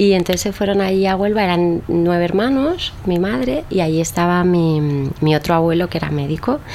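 A woman's fairly low-pitched voice with ordinary pitch variation and very even loudness, at a moderate pace over noticeable background noise. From Spain. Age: 30s. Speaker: singer-songwriter. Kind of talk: casual interview.

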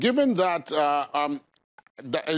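On a very clean recording with a silent background and a dry, close sound with no echo, a man with a Nigerian accent speaks at a fairly slow pace with ordinary pitch variation. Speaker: TV news host. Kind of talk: formal TV interview. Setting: studio.

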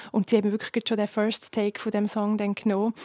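A woman talks at a fairly quick pace. She speaks in a Graubünden accent. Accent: Swiss German, Graubünden dialect. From Switzerland, Graubünden (Chur). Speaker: singer. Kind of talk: interview.

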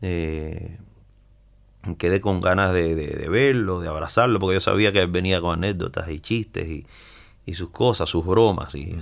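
A man's very deep, low voice moves at a moderate pace, its pitch varying in an ordinary way. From central Cuba. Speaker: musician. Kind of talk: interview.

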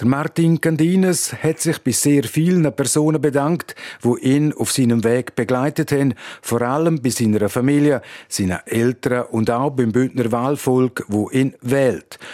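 A dark, mellow tone in a Romansh Swiss accent, fairly slow, with ordinary pitch variation and a dry, close sound with no echo. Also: man, medium pitch for a man. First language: Romansh (speaking German). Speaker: radio reporter. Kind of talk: news report.

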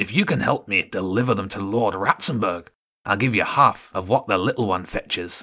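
In a put-on character voice, a man growls at a moderate pace with a fairly low pitch. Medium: read story. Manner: gruff, bossy.

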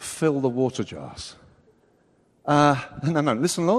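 The speaker has an English accent. Pitch moves in an ordinary way. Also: man. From England. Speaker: preacher. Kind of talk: sermon. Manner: animated.

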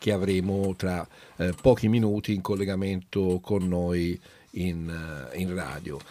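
Recorded very cleanly against a silent background, a man with an ordinary speaking voice and fairly low pitch talks at a fairly slow pace. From Italy, Florence. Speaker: radio host. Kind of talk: casual chat.

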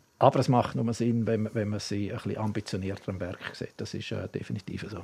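The man has an unremarkable speaking voice, with a fairly low pitch and fairly even intonation. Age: 60s. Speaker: former sports event director. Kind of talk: casual interview. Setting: studio.

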